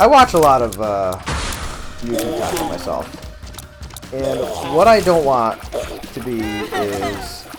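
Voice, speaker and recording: Someone mumbles at a very slow pace. There is audible room echo and music in the background. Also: man. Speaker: gaming youtuber. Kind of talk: let's play commentary. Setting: basement office. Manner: mumbling; halting.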